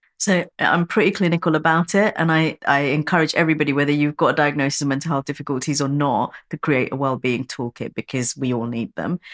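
In a very clean recording with a silent background, a woman with a very deep, low pitch and ordinary pitch variation talks at a very fast pace with hardly any pauses. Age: 40s. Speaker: workplace mental health CEO. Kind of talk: interview conversation.

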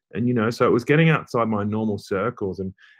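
This man speaks at a very fast pace with an Australian accent. His pitch is fairly low. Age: 40s. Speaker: journalist and author. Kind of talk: interview.

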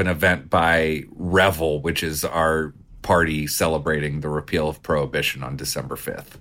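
At a moderate pace, a man speaks in a very deep, low voice with vocal fry. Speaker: distillery owner. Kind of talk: casual interview. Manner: talkative storyteller.

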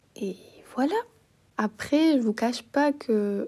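Speaking at a very slow pace, a woman has a dark, mellow tone. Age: 20s. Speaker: student podcaster. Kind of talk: casual monologue. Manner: hesitant, many fillers.

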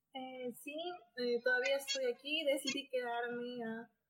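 This woman's high-pitched voice stays monotone, with flat intonation throughout. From Bolivia, Potosí. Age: 20s. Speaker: doctoral researcher in biotechnology. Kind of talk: interview.

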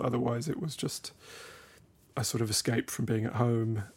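A man speaks at a fairly quick pace and a medium pitch. His voice is somewhat breathy, with fairly even intonation. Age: 30s. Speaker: philosophy teacher in prisons and author. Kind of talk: casual chat.

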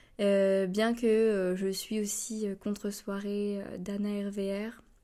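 The recording is very clean, with a silent background. A woman speaks at medium pitch with a dark, mellow tone. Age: 20s. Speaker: podcaster and communications student. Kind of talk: casual monologue. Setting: home recording alone. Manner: hesitant.

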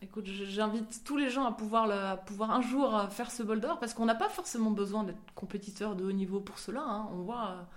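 A woman talks at a fairly quick pace and fairly high pitch, with hardly any pauses. Her pitch variation is ordinary, and room echo is audible. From France, Marseille. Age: 30s. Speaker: professional sailor. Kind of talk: interview testimony. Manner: halting, many hesitations.

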